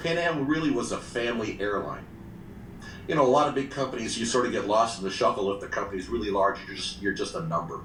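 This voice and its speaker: With audible room echo, a man speaks at a very fast pace, his medium pitch carrying lively intonation. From Brazil and Australia. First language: Portuguese. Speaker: retired flight attendant. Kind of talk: interview.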